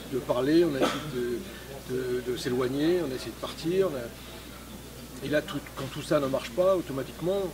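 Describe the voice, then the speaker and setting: The speech moves at a fairly slow pace with hardly any pauses, big swings in loudness and ordinary pitch variation, with audible room echo and noticeable background noise. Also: man, fairly high pitch for a man. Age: 60s. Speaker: street boxing instructor, retired police officer. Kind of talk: interview. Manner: hesitant, many fillers.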